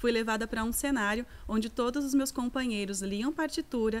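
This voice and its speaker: At a moderate pace, a woman speaks in an ordinary speaking voice, fairly high in pitch with ordinary pitch variation. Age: 30s. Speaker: singer and voice teacher. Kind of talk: lecture.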